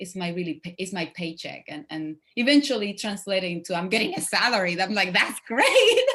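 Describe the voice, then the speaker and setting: A woman talks in a Spanish accent at a medium pitch. Her loudness swings widely. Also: ordinary pitch variation, moderate pace, hardly any pauses. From Cuba. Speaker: actress. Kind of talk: interview.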